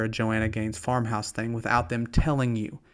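A man with a strong Southern US accent. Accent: strong Southern US drawl. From US South. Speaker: pastor. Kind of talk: radio devotional talk. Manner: conversational, with fillers and false starts.

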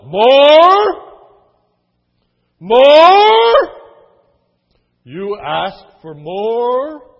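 A put-on character voice, bellowing, with very wide pitch swings. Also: man, extremely high pitch for a man. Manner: bellowing, outraged.

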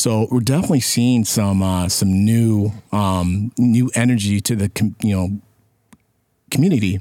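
Speaking fairly slowly with an American accent, a man has a dark, mellow tone, fairly even intonation and very even loudness. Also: fairly low pitch for a man. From US Midwest, Sterling, Illinois. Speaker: community organization communications volunteer. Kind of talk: casual interview.

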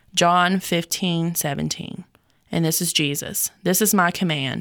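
In a Southern US accent, a woman speaks at a fairly slow pace with a fairly low pitch and fairly even intonation, in a very clean recording with a silent background. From North Carolina. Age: 20s. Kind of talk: casual chat.

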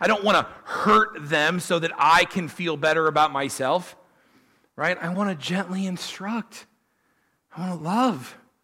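A man speaks fairly slowly at a high pitch. His tone is bright and sharp, with ordinary pitch variation. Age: 40s. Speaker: pastor. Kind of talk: sermon. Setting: church.

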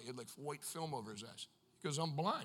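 A man's raised, projected voice at a very fast pace, animated in tone, bright and sharp. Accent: American. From United States. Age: 30s. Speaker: evangelist preacher. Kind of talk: sermon. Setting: church with live congregation.

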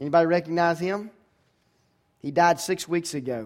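In a very clean recording with a silent background, a high-pitched man talks at a moderate pace with an American accent and ordinary pitch variation. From US South, Georgia. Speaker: pastor. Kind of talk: sermon. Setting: church.

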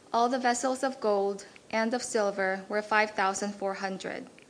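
A woman speaks in a normal speaking voice at medium pitch. Her intonation is fairly even and her pace moderate. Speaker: scripture reader. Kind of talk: reading aloud. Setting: church.

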